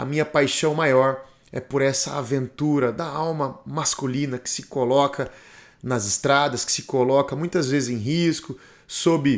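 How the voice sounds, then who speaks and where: A man talks in an ordinary speaking voice at a fairly high pitch and fairly slow pace. His pitch varies in an ordinary way, in a very clean recording with a silent background. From Brazil. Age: 40s. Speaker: motorcycle travel vlogger. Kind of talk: documentary narration.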